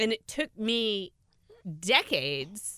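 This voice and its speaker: A woman with an American accent, medium in pitch, bright and sharp in tone, with vocal fry and very wide pitch swings. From US (California, then Oklahoma). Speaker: podcast co-host, author. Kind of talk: casual chat.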